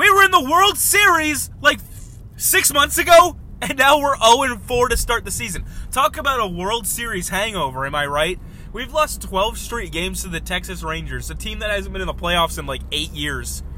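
An animated man at a moderate pace, with big swings in loudness over noticeable background noise. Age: 20s. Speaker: podcast host. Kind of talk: casual solo chat. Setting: in a car.

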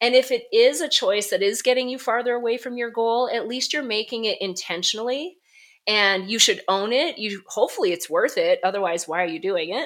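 Her pitch is fairly high, and this is a normal speaking voice from a woman with lively intonation at a fairly quick pace. The recording is very clean, with a silent background. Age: 40s. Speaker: wellness coach and author. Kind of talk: interview conversation.

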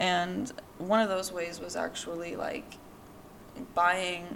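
A woman speaks very slowly at a fairly low pitch with fairly even intonation. Noticeable background noise is audible. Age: 20s. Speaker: podcast host. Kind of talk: personal monologue. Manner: casual, filler-heavy.

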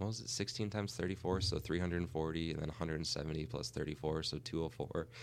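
A man speaks at a very slow pace with a very deep, low pitch. His voice has vocal fry. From Minnesota. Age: 20s. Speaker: real estate agent. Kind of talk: casual interview.

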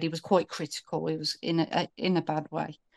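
In a British accent, a woman with a fairly low pitch speaks at a moderate pace with monotone, flat intonation over a quiet background. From United Kingdom. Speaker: caller. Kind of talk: casual call-in conversation. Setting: video call.

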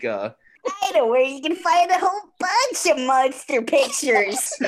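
The speaker uses a put-on character voice. It is high in pitch and moderate in pace. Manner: tough, cartoonish.

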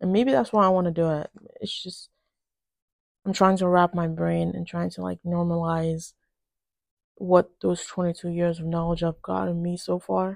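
In a quiet setting, a woman with a fairly low pitch speaks at a moderate pace in a flat monotone, pausing long and often. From Nigeria. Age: 20s. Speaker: podcaster. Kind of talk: casual monologue. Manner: hesitant, with many fillers.

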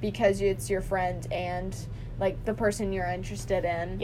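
A fairly slow pace in a Southern US accent. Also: woman. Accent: Southern US, country twang. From the American South. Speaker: podcast host.

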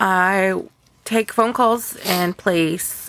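A woman with a Texan accent. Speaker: podcast co-host. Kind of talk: casual chat. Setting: home recording. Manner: animated.

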